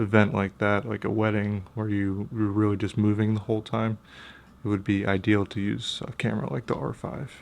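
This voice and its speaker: A quiet man with a fairly low pitch talks at a fairly slow pace with fairly even intonation. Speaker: camera gear youtuber. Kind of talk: casual vlog review. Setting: at home, kids sleeping nearby. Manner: quiet, hushed.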